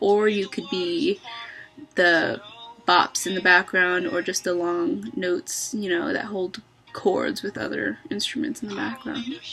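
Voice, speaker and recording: With faint music in the background, a woman speaks at a fairly slow pace with lively intonation. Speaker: vlogger, music student; vlogger. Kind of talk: personal vlog reflection. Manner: hesitant, many filler words; reflective, thoughtful. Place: home room. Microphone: webcam.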